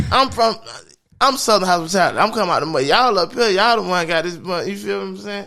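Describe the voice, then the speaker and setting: A raised, projected voice in an American accent, bright and sharp in tone, with ordinary pitch variation at a very fast pace, on a very clean recording with a silent background. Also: man, high pitch for a man. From Jacksonville, Florida. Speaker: hip-hop artist. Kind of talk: casual chat.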